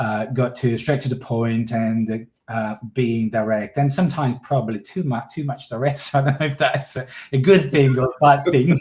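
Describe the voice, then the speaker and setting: At a moderate pace and with hardly any pauses, a man talks in a somewhat breathy, medium-pitched voice with ordinary pitch variation. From southern Italy, Calabria. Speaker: artist. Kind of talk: live interview. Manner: hesitant, many fillers.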